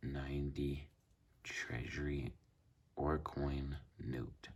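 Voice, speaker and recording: A man's very deep, low, somewhat breathy voice. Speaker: banknote collector. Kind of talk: casual talk to camera. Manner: slow.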